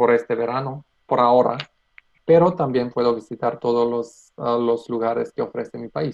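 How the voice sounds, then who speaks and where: With a Macedonian accent, the speaker talks at a moderate pace with fairly even intonation. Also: man, medium pitch for a man. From North Macedonia. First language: Macedonian (speaking Spanish). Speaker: economist and youth worker. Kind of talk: casual interview. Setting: video call. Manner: halting.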